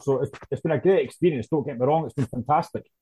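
Talking at a very fast pace, a man with a fairly high pitch and a dark, mellow tone sounds somewhat breathy in a dry, close sound with no echo. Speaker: Hearts fan. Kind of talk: casual chat.

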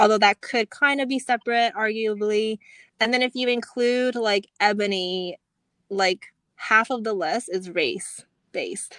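Recorded very cleanly against a silent background, an unremarkable speaking voice with ordinary pitch variation comes through dry and close with no echo. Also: woman, fairly high pitch for a woman. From US. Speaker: podcast co-host. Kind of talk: casual chat.

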